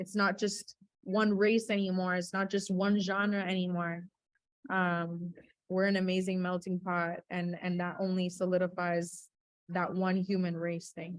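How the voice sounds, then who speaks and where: A woman speaks with an American accent. Her pace is fairly slow and her intonation monotone and flat. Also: medium pitch for a woman. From Winter Park, Florida, US. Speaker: music industry professional. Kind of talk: panel webinar conversation. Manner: casual, filler-heavy.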